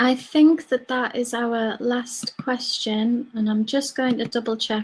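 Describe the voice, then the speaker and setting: Speaking at a very slow pace, a woman with a slight Cumbrian accent uses a high pitch. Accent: slight Cumbrian twang. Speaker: wildlife project officer. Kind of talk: online talk Q&A. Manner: casual, chatty.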